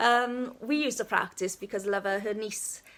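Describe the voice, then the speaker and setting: This woman speaks with a Welsh accent. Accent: Welsh, stronger when speaking Welsh. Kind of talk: casual live video chat. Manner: chatty.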